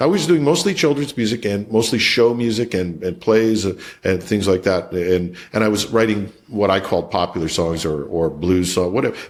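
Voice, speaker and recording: The speaker has a Canadian accent and lively intonation. The pace is moderate, with hardly any pauses. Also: man, fairly low pitch for a man. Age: 60s. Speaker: IT executive and songwriter. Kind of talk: interview conversation. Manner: halting, many repeated words.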